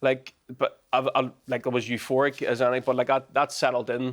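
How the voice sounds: This man talks at a fairly quick pace, his medium pitch held in a monotone, flat intonation.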